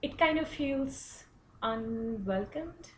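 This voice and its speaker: A woman with a high pitch speaks in an Indian accent. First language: Hindi. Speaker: international student. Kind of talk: personal reflection presentation. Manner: hesitant, many fillers.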